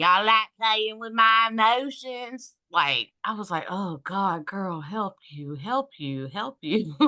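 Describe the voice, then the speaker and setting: With a bright, sharp tone and lively intonation, a woman speaks at a very slow pace with hardly any pauses and big swings in loudness over a quiet background. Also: medium pitch for a woman. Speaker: paranormal investigator. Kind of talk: casual chat.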